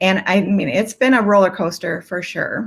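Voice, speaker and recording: A woman with an unremarkable speaking voice talks at a fairly slow pace and medium pitch. The recording is very clean, with a silent background. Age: 60s. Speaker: life coach. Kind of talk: testimony. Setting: live stream.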